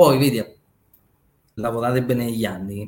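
A man with a plain, everyday voice talks at a fairly quick pace. His pitch is medium and his intonation fairly even. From Naples and Rome, Italy. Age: 40s. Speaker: trader and finance educator. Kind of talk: casual interview chat.

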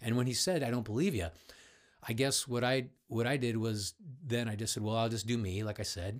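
A man speaks at a fairly quick pace in a medium-pitched voice with ordinary pitch variation. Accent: Midwestern American. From US Midwest, Cleveland. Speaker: voice-over artist. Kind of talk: casual chat. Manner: animated.

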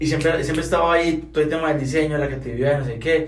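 A man talks in fairly even intonation, with audible room echo around him. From Colombia, Santander (Bucaramanga). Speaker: chef, creative agency co-founder. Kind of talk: casual chat.

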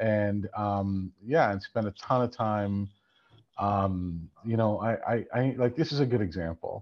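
A man has a normal speaking voice, fairly low in pitch with ordinary pitch variation. He speaks at a fairly slow pace with very even loudness. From Ontario, Canada. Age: 50s. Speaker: sports business executive and film producer. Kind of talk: interview.

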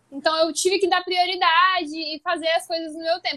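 The woman's voice is extremely high in pitch. She talks at a moderate pace, and the sound is dry and close with no echo. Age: 20s. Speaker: podcast host and social media creator. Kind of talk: casual chat.

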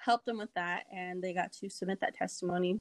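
At a fairly quick pace, a woman with an American accent speaks at a medium pitch with fairly even intonation. The sound is dry and close with no echo, on a very clean recording with a silent background. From Kansas, US. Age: 20s. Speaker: state legislator. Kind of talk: casual chat.

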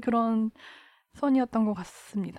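A woman talks with fairly even intonation. Her pitch is fairly high. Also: dry, close sound with no echo. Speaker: member of feminist group. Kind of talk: casual chat.

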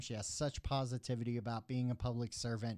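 Here a man talks in a normal speaking voice with an American accent, at a medium pitch. His pace is moderate, and the recording is very clean with a silent background. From Texas, Dallas area. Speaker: podcast host. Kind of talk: interview.

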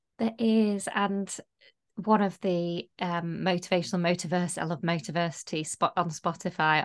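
A woman speaks in an ordinary speaking voice at a fairly low pitch, with ordinary pitch variation. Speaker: podcast co-host. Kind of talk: casual chat.

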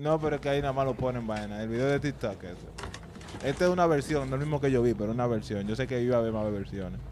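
A man talks at a very fast pace with a medium pitch and ordinary pitch variation. Noticeable background noise runs behind him. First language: bilingual Spanish-English (speaking Spanish). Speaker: podcast co-host. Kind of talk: casual chat.

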